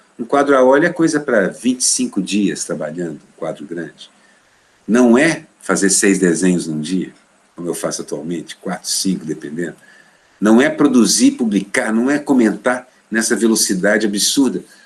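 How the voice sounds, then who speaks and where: At a moderate pace, a man with a medium pitch speaks with very wide pitch swings and big shifts in loudness. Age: 60s. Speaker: cartoonist. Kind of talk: interview.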